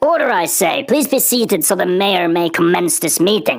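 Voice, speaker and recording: A put-on character voice comes through loud, at a middle pitch and moderate pace. Its pitch swings very wide. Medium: read story.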